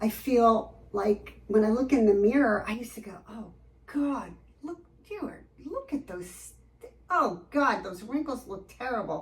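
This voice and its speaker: Over noticeable background noise, someone speaks at a fairly slow pace with lively intonation and big swings in loudness. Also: woman, fairly high pitch for a woman. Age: 60s. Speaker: med spa patient giving testimonial. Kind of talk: testimony interview. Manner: animated, enthusiastic.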